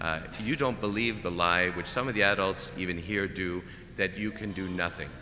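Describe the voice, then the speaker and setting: A man's very deep, low voice comes through at a moderate pace while music plays behind him. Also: ordinary pitch variation. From Canada. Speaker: preacher. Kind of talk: homily.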